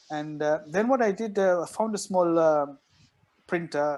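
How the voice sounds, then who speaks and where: Lively intonation runs through this man's speech. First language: not English. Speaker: doctor and author, guest. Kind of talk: podcast interview.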